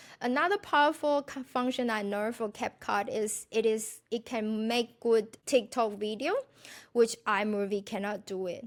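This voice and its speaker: In a very clean recording with a silent background, a woman with a non-native accent speaks at a fairly high pitch and fairly slow pace, with ordinary pitch variation. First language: not English. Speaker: food blogger and podcast host. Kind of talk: casual tutorial monologue. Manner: halting, with self-corrections.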